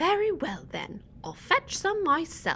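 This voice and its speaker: A put-on character voice at a fairly slow pace. Background noise is clearly audible. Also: woman. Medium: read story. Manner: polite, patient.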